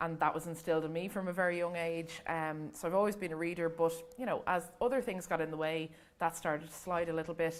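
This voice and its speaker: A very fast woman's voice in an Irish accent, fairly low in pitch, with fairly even intonation. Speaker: book influencer. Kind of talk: panel talk at library event.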